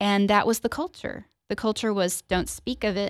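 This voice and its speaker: Heard dry and close with no echo, an unremarkable speaking voice keeps a fairly even intonation on a very clean recording with a silent background. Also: woman. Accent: American. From Springfield, Missouri. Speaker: tornado survivor and author.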